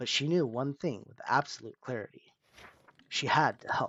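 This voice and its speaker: With a plain, everyday voice, a man speaks at a fairly quick pace, his fairly high pitch showing ordinary variation. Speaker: storyteller. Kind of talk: reading aloud. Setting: live stream.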